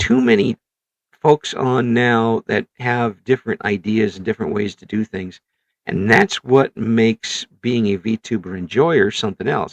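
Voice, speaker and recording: The voice, with a Midwestern US accent, moves at a fairly slow pace with ordinary pitch variation and big swings in loudness. The sound is dry and close, with no echo. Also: man, medium pitch for a man. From Illinois. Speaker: podcast host. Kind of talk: interview. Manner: halting.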